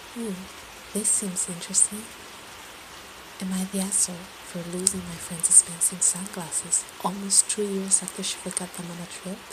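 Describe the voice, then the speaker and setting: Whispering and soft-spoken, a woman speaks at a moderate pace in a soothing tone over noticeable background noise. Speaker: ASMR creator. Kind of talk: ASMR story reading. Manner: soft, whispered, soothing.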